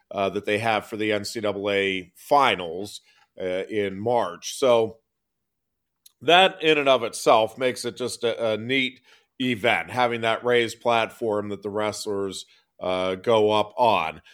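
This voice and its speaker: A man with an American accent speaks at a fairly slow pace in an unremarkable speaking voice, medium in pitch with ordinary pitch variation, on a very clean recording with a silent background. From State College area, Pennsylvania. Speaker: sports talk co-host. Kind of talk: casual sports talk.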